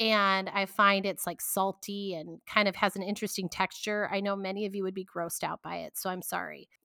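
A loud woman of medium pitch, bright, sharp and animated in tone, in a very clean recording with a silent background and a dry, close sound with no echo. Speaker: podcast host. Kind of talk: solo podcast monologue. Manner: loud, talkative; animated, chatty.

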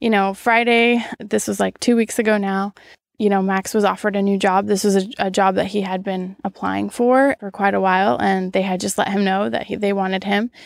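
On a very clean recording with a silent background, a woman talks at a medium pitch and a fairly quick pace, with fairly even intonation and hardly any pauses. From US Pacific Northwest (Washington), born in Brazil. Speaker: podcast guest, expat. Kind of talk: casual interview conversation.

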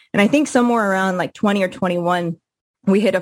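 A woman with a plain, everyday voice at medium pitch and a fairly quick pace. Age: 30s. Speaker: professional marathon runner. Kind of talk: interview.

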